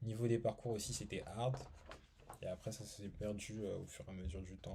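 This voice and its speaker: At a fairly slow pace, a man speaks in a fairly low, somewhat breathy voice with a dark, mellow tone. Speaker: YouTuber reviewing art books. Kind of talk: casual video review. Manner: hesitant, many fillers.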